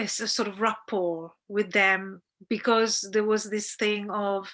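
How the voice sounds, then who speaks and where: With an Italian accent, a woman speaks very slowly at medium pitch in a bright, sharp tone with monotone, flat intonation against a quiet background. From central Italy. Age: 50s. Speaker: documentary director. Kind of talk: interview Q&A. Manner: halting, many fillers and repetitions.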